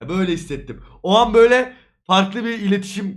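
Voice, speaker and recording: This man talks with a high pitch. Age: 20s. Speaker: streamer. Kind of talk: casual chat.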